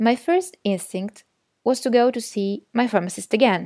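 Her tone dark and mellow, a woman speaks at a moderate pace with ordinary pitch variation and an Italian accent in a very clean recording with a silent background. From Italy. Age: 20s. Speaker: podcast guest sharing personal story. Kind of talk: scripted narration.

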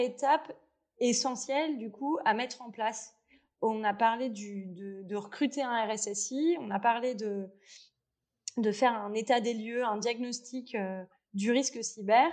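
A woman's very slow speech at a fairly high pitch, with ordinary pitch variation and big swings in loudness. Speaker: podcast host. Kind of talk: interview.

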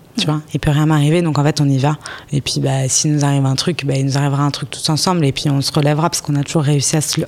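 Over noticeable background noise, a woman with a very deep, low pitch speaks at a very fast pace. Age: 30s. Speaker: business owner in construction. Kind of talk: interview. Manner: halting.

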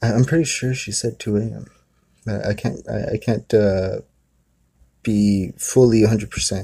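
A man's somewhat breathy, dark and mellow voice at a very slow pace, with long, frequent pauses and fairly even intonation, on a very clean recording with a silent background. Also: fairly low pitch for a man. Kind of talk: retelling a family story in casual storytelling. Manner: conversational, rambling, relaxed with filler words and laughs.

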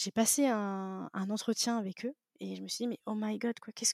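A woman speaks in a very clean recording with a silent background and a dry, close sound free of echo. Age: 20s. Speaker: podcast host, digital marketer. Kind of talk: interview, casual chat. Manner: halting, many fillers; animated.

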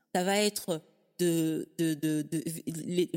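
A woman speaks with a fairly low pitch. The recording is very clean, with a silent background. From Africa. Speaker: podcaster, organization coach. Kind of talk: casual interview conversation. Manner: enthusiastic.

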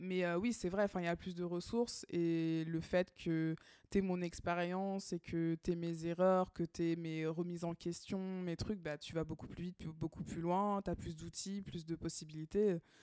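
A woman with a fairly low pitch and a dark, mellow tone speaks in a monotone, flat way with hardly any pauses, in a dry, close sound with no echo and a very clean recording with a silent background. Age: 30s. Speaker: podcast co-host. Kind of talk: casual chat.

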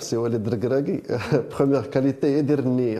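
Audible room echo surrounds a man whose dark, mellow tone carries fairly even intonation. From Morocco, Rabat area. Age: 30s. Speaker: football coach. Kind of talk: interview.

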